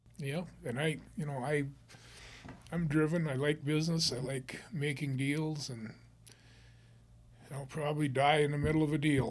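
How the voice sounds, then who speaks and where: In an Upper Midwest accent, a man speaks at a moderate pace with a fairly high pitch and a somewhat breathy voice, leaving long, frequent pauses. Audible room echo surrounds his words. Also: fairly even intonation. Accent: Upper Midwest American. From northern Minnesota. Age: 70s. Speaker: real estate investor and business owner. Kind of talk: casual interview.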